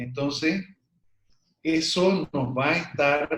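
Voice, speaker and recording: A man with a fairly high pitch. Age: 60s. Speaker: medical doctor and alternative therapist. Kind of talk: interview.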